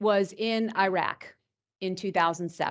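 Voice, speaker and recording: This woman speaks in a New York accent. Her pitch is medium, with ordinary variation. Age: 50s. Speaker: cybersecurity executive. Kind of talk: lecture. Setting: stage with audience.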